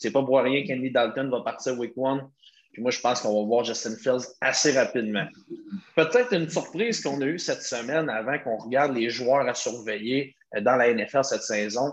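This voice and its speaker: This man's medium-pitched voice varies in an ordinary way and keeps a moderate pace. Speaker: podcast host. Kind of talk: casual sports chat.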